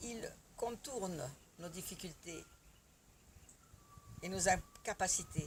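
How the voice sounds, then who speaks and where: Long pauses come often in this very slow delivery. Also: woman, medium pitch for a woman, ordinary pitch variation. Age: 70s. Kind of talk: testimonial talk to camera.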